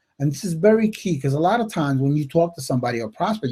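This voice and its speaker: The speaker talks very fast with an American accent and lively intonation. The voice is somewhat breathy with a dark, mellow tone. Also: man. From upstate New York. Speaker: network marketing coach. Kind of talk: live webinar talk. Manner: casual, filler-heavy.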